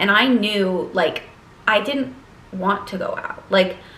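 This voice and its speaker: Noticeable background noise and audible room echo accompany a woman speaking at medium pitch with ordinary pitch variation. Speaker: lifestyle vlogger and college student. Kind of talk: casual vlog monologue. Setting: sitting at her desk.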